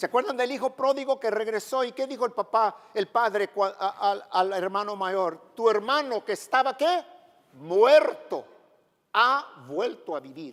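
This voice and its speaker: A high-pitched man speaks at a fairly slow pace with lively intonation. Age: 70s. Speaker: pastor. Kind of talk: sermon.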